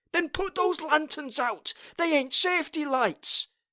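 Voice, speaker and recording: Extremely high pitch in a put-on character voice from a man. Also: fairly slow pace. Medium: read story.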